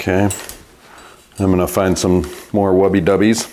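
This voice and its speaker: A man with a very deep, low pitch speaks over light background noise. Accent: American. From US Midwest. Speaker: bike repair shop owner and YouTuber. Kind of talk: tutorial. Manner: casual, conversational. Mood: relaxed, wry. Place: workshop.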